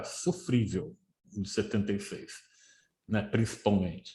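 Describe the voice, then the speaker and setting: A man speaks in a somewhat breathy voice. His tone is dark and mellow. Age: 60s. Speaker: football historian and teacher. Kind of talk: podcast interview.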